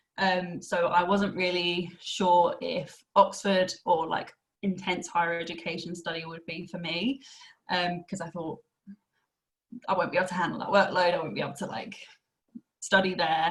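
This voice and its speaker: Speaking at a moderate pace with long, frequent pauses, a woman with a slight Essex accent keeps a fairly low pitch and fairly even intonation. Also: big swings in loudness. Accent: slight Essex twang. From Essex, England. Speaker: university access programme staff and former student. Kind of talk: podcast interview.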